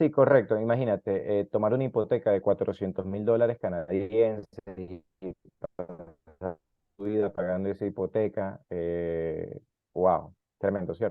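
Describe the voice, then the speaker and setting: This is a man with a normal speaking voice. His pitch is fairly low, with ordinary pitch variation. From South America. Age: 30s. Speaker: immigrant interviewee. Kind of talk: interview.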